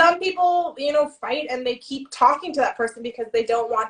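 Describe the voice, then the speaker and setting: A woman with a Canadian accent speaks with very wide pitch swings. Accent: Canadian, self-described as nasal. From Canada. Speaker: writing show co-host. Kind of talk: casual live-stream chat. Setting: Instagram live stream.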